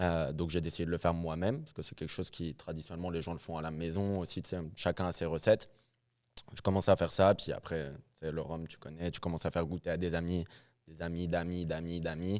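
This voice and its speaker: Over a silent background in a very clean recording, a man with a very deep, low pitch talks at a very fast pace in a monotone, flat intonation. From northern France, Lille. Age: 20s. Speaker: rum producer. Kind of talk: casual interview. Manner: hesitant, many fillers.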